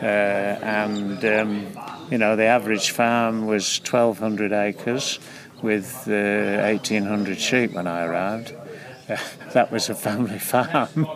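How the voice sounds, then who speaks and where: A man's fairly low voice at a very slow pace, with fairly even intonation and noticeable background noise. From England, Leicestershire. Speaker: farm management consultant. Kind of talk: interview. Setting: outdoors at a field day. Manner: halting.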